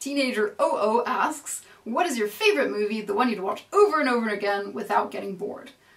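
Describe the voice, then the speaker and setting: A woman speaks at a fairly quick pace in a fairly high pitch. Noticeable background noise sits behind her. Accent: American. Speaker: makeup tutorial youtuber. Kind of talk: Q&A video monologue.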